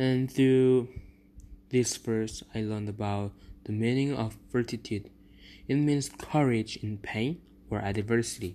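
A man speaks with a non-native accent in a dark, mellow tone. His intonation is fairly even, and he leaves long, frequent pauses. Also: medium pitch for a man. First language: not English. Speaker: podcast host. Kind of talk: devotional talk.

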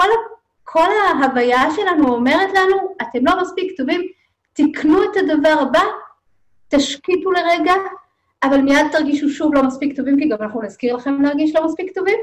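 A woman speaks at a moderate pace with high pitch. Long, frequent pauses break up her speech. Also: ordinary pitch variation. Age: 50s. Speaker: mindfulness therapist and facilitator. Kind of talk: podcast interview.

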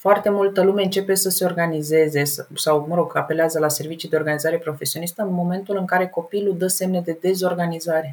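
This woman talks very fast in a fairly low pitch. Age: 30s. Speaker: professional organizer. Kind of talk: interview. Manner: animated.

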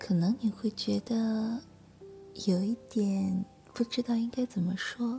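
Over music in the background, the speaker goes at a very slow pace. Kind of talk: whispered ASMR roleplay, soothing listener-style monologue. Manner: soft, slow, hushed and intimate, gentle reassuring tone.

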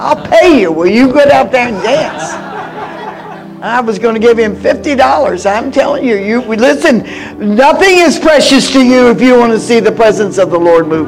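A man talks at a moderate pace in an extremely high pitch with very wide pitch swings, over noticeable background noise. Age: 80s+. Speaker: guest preacher. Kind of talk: sermon. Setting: church with audience. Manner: animated.

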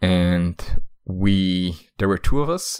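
This man has a very deep, low voice and a Slovak accent. The recording is very clean, with a silent background. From Slovakia. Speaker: podcast co-host. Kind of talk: casual conversation.

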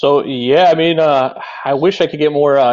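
In a Chicago accent, the speaker keeps a moderate pace with ordinary pitch variation. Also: man. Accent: Chicago American. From Chicago, Illinois. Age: 30s. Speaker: car enthusiast and streamer. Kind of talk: casual interview.

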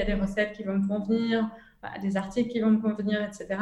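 The intonation is monotone and flat as a woman speaks at a medium pitch. There is audible room echo and noticeable background noise. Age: 20s. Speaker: entrepreneur. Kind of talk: interview. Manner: halting.

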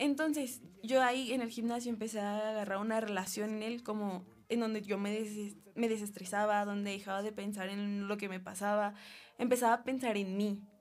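Audible room echo surrounds a woman talking at a moderate pace in a fairly high voice with fairly even intonation. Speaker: university student. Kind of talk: casual chat. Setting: studio.

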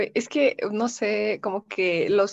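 Against a quiet background, a woman speaks at a medium pitch with a dry, close sound and no echo. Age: 20s. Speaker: communication student and radio host. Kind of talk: casual chat.

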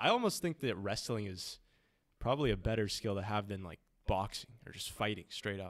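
At a fairly quick pace, a man speaks with a fairly low pitch and ordinary pitch variation in a very clean recording with a silent background. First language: Spanish. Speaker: student podcast host. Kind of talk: casual chat interview.

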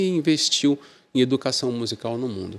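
With a normal speaking voice, a man goes at a moderate pace in a mid-range pitch. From Brazil, Santos (São Paulo state). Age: 50s. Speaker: music journalist and critic. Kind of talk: casual interview chat.

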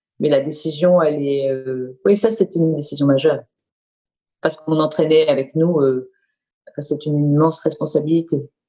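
The voice has a dark, mellow tone and fairly even intonation. It moves at a moderate pace, broken by long, frequent pauses. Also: woman, very deep, low pitch for a woman. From Marseille, southern France. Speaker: bank executive and former business lawyer. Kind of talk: interview. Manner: halting, with frequent repetitions.

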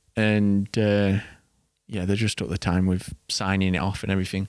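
In an English accent, a man speaks at a fairly low pitch. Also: very clean recording, silent background. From England. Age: 20s. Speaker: trainee pilot, podcast co-host. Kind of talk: casual chat.

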